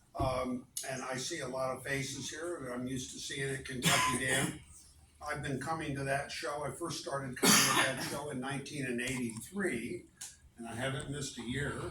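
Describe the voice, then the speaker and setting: A man with a fairly high voice speaks at a moderate pace and with fairly even intonation, with noticeable background noise and audible room echo around him. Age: 70s. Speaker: archaeologist. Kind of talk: lecture. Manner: halting.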